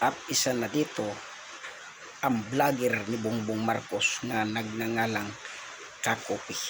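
Over noticeable background noise, a man talks at a fairly slow pace in a monotone, flat intonation at a medium pitch. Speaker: vlogger commentator. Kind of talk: angry rant. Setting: reacting to played video clips. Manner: loud, indignant, hammering rhetorical questions; defiant, scolding, sarcastic tone.

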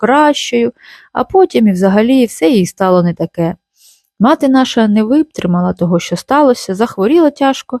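Someone reads aloud plainly with lively intonation. The background is quiet.

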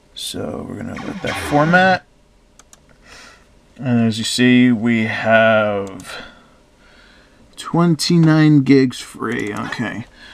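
Amid noticeable background noise, a man with a medium pitch and lively intonation talks at a very slow pace, with long, frequent pauses and big swings in loudness. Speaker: tech reviewer. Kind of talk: tutorial.

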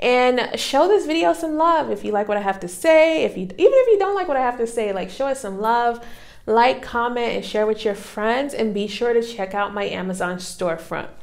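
A woman's pitch swings very widely as she talks at a moderate pace with hardly any pauses. The background is quiet. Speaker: vlogger. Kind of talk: casual vlog chat. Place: home room. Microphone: lapel.

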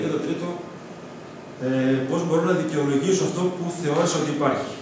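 Strong room echo and noticeable background noise surround a man speaking at a fairly quick pace with ordinary pitch variation. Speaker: presenter. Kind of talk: lecture. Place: classroom. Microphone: camera far.

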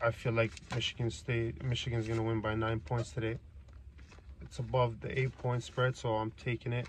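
A somewhat breathy male voice in a dry sound with no echo, over light background noise. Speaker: sports betting vlogger. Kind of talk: casual vlog commentary. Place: car. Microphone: phone near.

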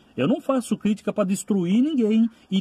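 A man talks in a dark, mellow tone. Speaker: rideshare driver vlogger. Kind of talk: casual vlog advice. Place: car. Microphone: phone near.

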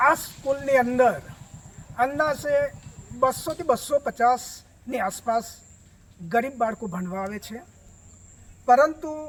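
This man's voice sits extremely high, with ordinary pitch variation and big swings in loudness. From Gujarat, India. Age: 60s. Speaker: villager. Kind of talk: public complaint to reporter.

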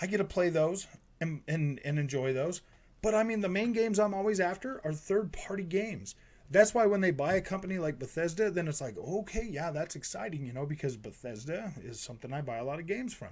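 A loud man's voice, high in pitch, with lively intonation and a fairly quick pace. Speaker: gaming YouTuber. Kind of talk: angry rant about console rivalry, directed at PlayStation fans, indignant and defensive. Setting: home recording, solo to camera. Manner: loud, exasperated and heated, repeating himself and stumbling over words; casual, conversational, with filler words and swearing like 'freaking'. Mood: mildly frustrated, relaxed. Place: home room. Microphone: studio mic.

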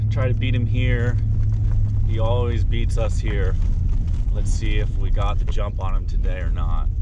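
Loud background noise runs under a man's voice. He speaks at a moderate pace with long, frequent pauses. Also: dry sound with no echo. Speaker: snowmobiling vlogger. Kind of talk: casual vlog chat. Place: car. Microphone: phone near.

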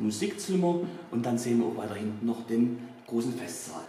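A man's voice with lively intonation, audible room echo and light background noise. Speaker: tour guide. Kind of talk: guided tour explanation. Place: hall. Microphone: camera far.

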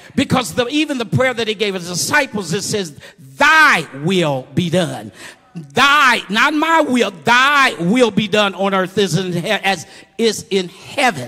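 A man's raised, projected voice, high in pitch, with very wide pitch swings at a very slow pace. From Muncie, Indiana. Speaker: preacher giving a eulogy. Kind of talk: informal, call-and-response preaching. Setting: church funeral service. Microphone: handheld.

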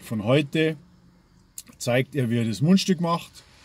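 A man is speaking. The sound is dry with no echo. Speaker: pipe-smoking hobby vlogger. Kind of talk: casual vlog chat. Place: car. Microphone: phone near.

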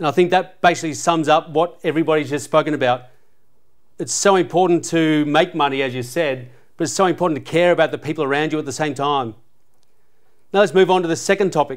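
Against a quiet background, a man with an Australian accent speaks at a very fast pace. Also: fairly high pitch for a man, fairly even intonation. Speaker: podcast host, former footballer; podcast host. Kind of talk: panel discussion. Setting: sports venue studio. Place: studio. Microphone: lapel.

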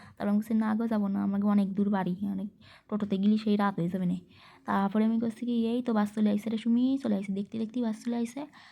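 On a very clean recording with a silent background, a woman speaks at a fairly high pitch with a dark, mellow tone, a somewhat breathy sound and monotone, flat intonation. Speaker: lifestyle vlogger. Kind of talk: vlog narration. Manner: chatty, conversational.

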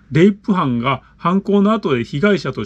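Male voice with very wide pitch swings. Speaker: channel host reading listener letters. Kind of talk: reading aloud a listener letter with commentary. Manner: casual, filler-heavy commentary. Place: home room.

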